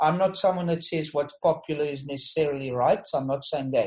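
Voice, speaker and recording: A man speaks at a fairly quick pace in a fairly high, somewhat breathy voice with ordinary pitch variation. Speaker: discussion leader. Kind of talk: closing reflection. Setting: online group call.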